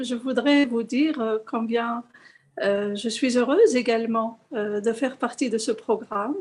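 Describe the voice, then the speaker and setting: Speaking with an Arabic accent, a woman uses a high pitch and fairly even intonation at a moderate pace. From Morocco. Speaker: organization representative. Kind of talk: remarks in online seminar. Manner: halting.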